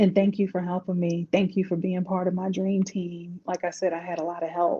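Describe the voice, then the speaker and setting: With a DC accent, a woman talks in a fairly low, somewhat breathy voice. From Washington DC. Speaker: life coach. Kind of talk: interview.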